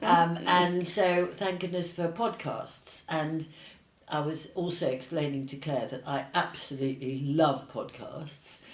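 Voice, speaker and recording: Amid noticeable background noise and audible room echo, a woman with a very deep, low pitch speaks at a fairly slow pace with ordinary pitch variation. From Australia then England from age 10. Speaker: paint company founder and artist. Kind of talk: casual interview. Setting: in-person interview, same room.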